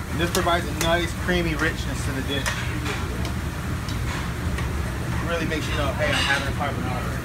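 Loud background noise fills the recording as a man talks at a fairly quick pace. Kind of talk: cooking tutorial. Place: kitchen. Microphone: phone near.

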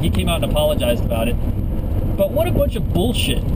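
Loud background noise behind a man's voice. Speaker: vlogger. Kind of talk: casual vlog chat. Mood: sarcastic, annoyed ranting. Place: car. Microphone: phone near.

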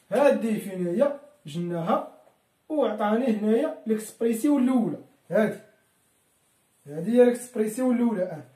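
There is audible room echo as a man talks over a quiet background. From Morocco. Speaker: electrical engineering teacher. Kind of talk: tutorial; lecture. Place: home room. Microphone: camera far.

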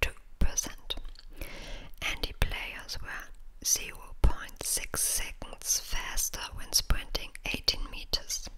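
Whispering at a very slow pace amid noticeable background noise. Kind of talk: ASMR article reading. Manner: whispered.

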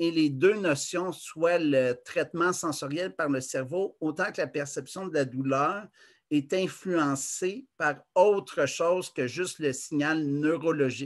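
A man with a Quebec accent speaks at a very slow pace. His pitch is fairly high. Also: ordinary pitch variation, quiet background. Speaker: conference presenter. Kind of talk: lecture. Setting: video call. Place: home room. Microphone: webcam.

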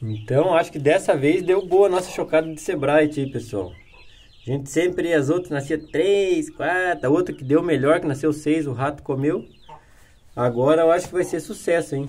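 A man's speech holds a moderate pace, its pitch varying in an ordinary way. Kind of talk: casual vlog chat. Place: farm machine. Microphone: phone near.

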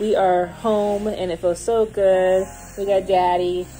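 Faint music plays behind a woman who speaks at a fairly slow pace with monotone, flat intonation. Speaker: parent vlogger. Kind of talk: casual vlog chat. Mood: happy, relieved. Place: home room. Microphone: phone near.

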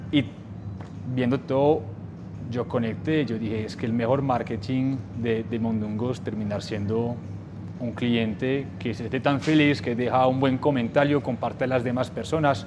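Over clear background music, a man speaks fairly slowly with fairly even intonation. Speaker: podcast host. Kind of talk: interview. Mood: warm, friendly. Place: home room. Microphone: lapel.

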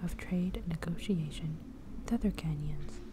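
Soft-spoken and calm in tone, a woman talks at a moderate pace over noticeable background noise. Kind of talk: ASMR gallery tour narration, soft spoken. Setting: art gallery with background noise. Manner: soft-spoken, calm.

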